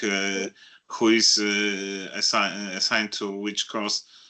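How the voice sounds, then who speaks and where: At a very slow pace, a man with a non-native accent speaks in a fairly low voice with a bright, sharp tone. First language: not English. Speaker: audience member. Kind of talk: audience Q&A. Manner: halting, many hesitations.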